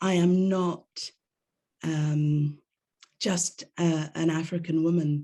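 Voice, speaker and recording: A woman speaks very slowly in a British accent, with long, frequent pauses. Her fairly low voice has a dark, mellow tone and a monotone, flat intonation. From England. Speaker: drama therapist. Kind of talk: panel discussion.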